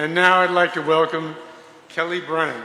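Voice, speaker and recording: Over noticeable background noise and audible room echo, a man speaks at a moderate pace with a fairly high pitch. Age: 70s. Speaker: war veteran and rally speaker. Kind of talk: rally speech.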